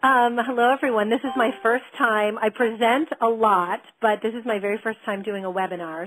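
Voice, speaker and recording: Her voice is fairly high and her tone animated. This woman speaks at a moderate pace with hardly any pauses. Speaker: wedding industry consultant. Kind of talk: webinar presentation. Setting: at home on computer.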